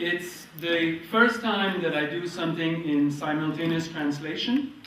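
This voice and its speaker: A man speaks at a fairly slow pace and high pitch, with ordinary pitch variation. Noticeable background noise and audible room echo surround him. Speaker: market gardener and author giving workshop. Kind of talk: workshop presentation with consecutive translation. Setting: lecture room with audience.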